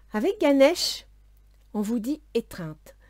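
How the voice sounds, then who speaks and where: A soft-spoken woman's high voice at a very slow pace, with very wide pitch swings. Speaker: tarot and astrology reader. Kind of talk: tarot reading for viewers. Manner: soft, quiet voice.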